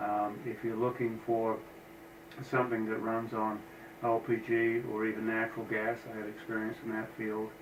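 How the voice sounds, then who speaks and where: In a room with audible echo, a man talks with monotone, flat intonation. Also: medium pitch for a man, moderate pace. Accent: American. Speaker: engine builder. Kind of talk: casual shop tour narration. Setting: office. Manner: hesitant with fillers.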